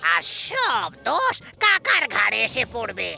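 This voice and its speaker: There's a cartoonish character voice here, with faint music playing in the background. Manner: boastful, gloating.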